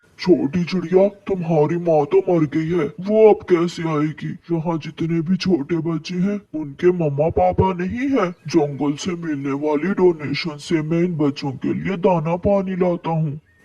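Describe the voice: In a cartoonish character voice, the speaker goes at a fairly slow pace with hardly any pauses. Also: man, high pitch for a man.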